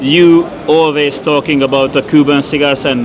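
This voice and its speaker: A man with a Hungarian accent speaks at a fairly quick pace in a fairly high pitch over noticeable background noise. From Hungary. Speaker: podcast host. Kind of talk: interview. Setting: tobacco trade fair. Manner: halting.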